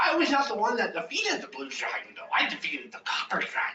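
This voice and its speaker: In a put-on character voice, the speaker rattles off lines at a very fast pace with a high pitch. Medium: actual play. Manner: formal, polite.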